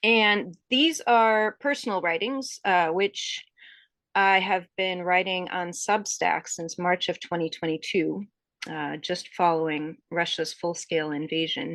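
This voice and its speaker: With an American accent, a woman talks fairly slowly in a normal speaking voice of medium pitch against a quiet background. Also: ordinary pitch variation. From US Northeast, suburban Connecticut. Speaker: author. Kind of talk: interview. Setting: podcast interview.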